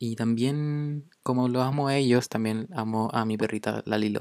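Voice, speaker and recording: A man with a Chilean accent, at a fairly slow pace with fairly even intonation. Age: young. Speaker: podcast host. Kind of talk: casual monologue. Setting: home recording during quarantine. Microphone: poor sound quality.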